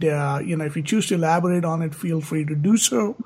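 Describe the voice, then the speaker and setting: A man with a South Asian accent talks at a fairly quick pace in a high pitch with ordinary pitch variation. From Indian subcontinent. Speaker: podcast host. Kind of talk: interview. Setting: call.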